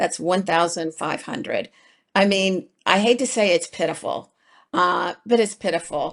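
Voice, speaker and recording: Over a quiet background, a woman speaks at medium pitch with an animated tone, ordinary pitch variation and a fairly slow pace. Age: 60s. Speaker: accessible travel business founder. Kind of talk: podcast interview.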